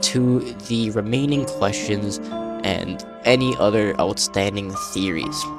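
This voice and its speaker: Over music in the background, a man speaks with a fairly low pitch. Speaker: gaming theory YouTuber. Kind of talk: video essay narration. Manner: casual, hesitant with fillers.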